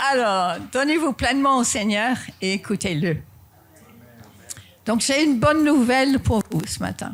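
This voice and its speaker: The speaker has a slight non-native accent and a fairly slow pace. Long, frequent pauses break up the speech. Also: woman, high pitch for a woman. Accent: slight foreign. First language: not French (speaking French). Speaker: pastor. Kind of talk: sermon. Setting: church.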